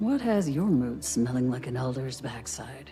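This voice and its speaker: A put-on character voice at a low-to-middle pitch and a moderate pace, with clear music in the background. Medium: video game.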